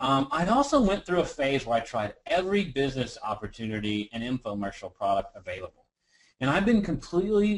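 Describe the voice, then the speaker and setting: Pitched fairly high for a man, he talks with a Texan accent and very wide pitch swings. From Texas. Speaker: business coach. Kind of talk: webinar presentation. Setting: webinar.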